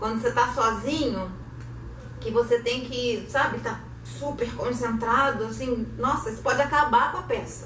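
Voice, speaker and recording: A woman with a Carioca accent, heard with audible room echo. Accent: carioca Brazilian Portuguese. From Rio de Janeiro, Brazil. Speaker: actress and theatre director. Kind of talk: online lecture. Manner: animated.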